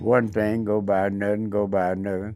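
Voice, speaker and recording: Music plays in the background as a man with an American accent speaks in a fairly low, monotone, flat voice at a moderate pace. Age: 80s+. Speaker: war veteran. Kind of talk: interview answer.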